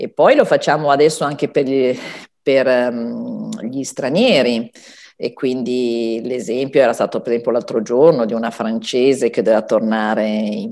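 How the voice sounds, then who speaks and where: With a very deep, low pitch and ordinary pitch variation, a woman speaks at a moderate pace in a very clean recording with a silent background. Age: old. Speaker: pharmacist. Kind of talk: TV health advice segment.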